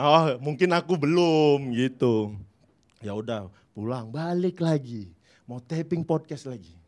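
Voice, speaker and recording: Speaking very slowly, a man uses a fairly high pitch, lively intonation and big swings in loudness. The recording is very clean, with a silent background. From Indonesia, North Sumatra (Batak, Medan). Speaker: stand-up comedian. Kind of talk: stand-up.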